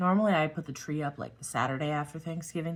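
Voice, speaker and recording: A woman speaks at a very fast pace in a very deep, low voice. She sounds somewhat breathy, with ordinary pitch variation. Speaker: craft YouTuber. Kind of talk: casual craft tutorial chat.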